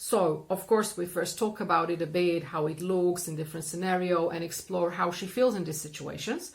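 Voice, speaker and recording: A woman with a fairly low pitch and ordinary pitch variation speaks in a plain, everyday voice. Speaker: therapist and coach. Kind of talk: explanatory talk to camera.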